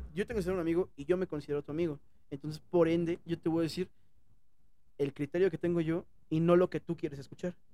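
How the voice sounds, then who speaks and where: This man talks at a very fast pace with long, frequent pauses, his high voice carrying a dark, mellow tone and fairly even intonation. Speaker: podcast co-host. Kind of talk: casual chat. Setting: airport.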